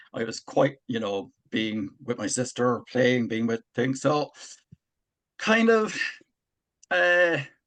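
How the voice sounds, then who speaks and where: A man speaks with an Irish accent at a medium pitch. His intonation is lively and his pace fairly slow. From Ireland. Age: 60s. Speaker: army veteran and author. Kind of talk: personal testimony in interview.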